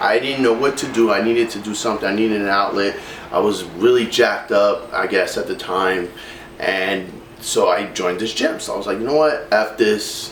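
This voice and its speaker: A man with a New York accent speaks at a fairly low pitch and a moderate pace, with ordinary pitch variation. Noticeable background noise and audible room echo come through. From New York City, Brooklyn. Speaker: fitness vlogger. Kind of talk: personal testimony. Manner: casual, many fillers.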